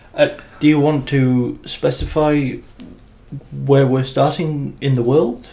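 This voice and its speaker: With a British accent, a man speaks very slowly in a dark, mellow tone, his fairly high pitch monotone and flat, broken by long, frequent pauses. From Britain. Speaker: podcast co-host and editor. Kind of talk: casual chat.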